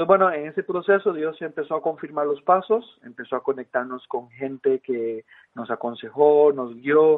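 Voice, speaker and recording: A man speaks at a moderate pace with a fairly high pitch. His pitch varies in an ordinary way. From Costa Rica. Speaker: missionary. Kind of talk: interview. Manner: halting, many fillers.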